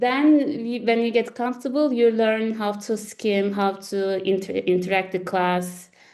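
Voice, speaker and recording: Speaking in a Turkish accent, a woman with a fairly high pitch moves at a fairly slow pace with hardly any pauses and ordinary pitch variation. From Turkey, Istanbul. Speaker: lawyer. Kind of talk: interview. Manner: halting, many restarts and fillers.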